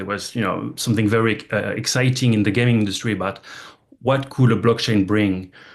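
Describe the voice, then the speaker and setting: A man with a French accent, medium pitch and fairly even intonation, at a fairly quick pace over a quiet background. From France. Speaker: gaming industry executive. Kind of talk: investment presentation talk. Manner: halting, many repetitions and fillers.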